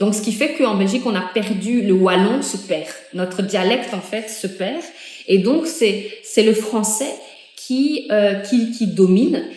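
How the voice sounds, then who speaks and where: Speaking fairly slowly at a medium pitch with ordinary variation, a woman is heard with audible room echo and noticeable background noise. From Benin, Cotonou area. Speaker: interviewee. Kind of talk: interview. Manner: hesitant, many fillers.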